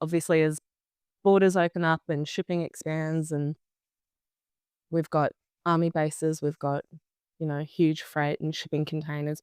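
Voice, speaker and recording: A woman with an Australian accent speaks at a moderate pace in a very deep, low voice with monotone, flat intonation, recorded very cleanly against a silent background with a dry, close sound and no echo. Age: young. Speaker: beekeeper. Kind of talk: interview answer.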